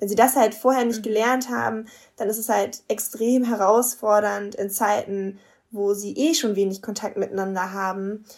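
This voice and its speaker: With fairly even intonation, an unremarkable speaking voice talks at a moderate pace. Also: woman, fairly high pitch for a woman. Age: 20s. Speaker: marriage and family counsellor, couples coach. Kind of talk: interview.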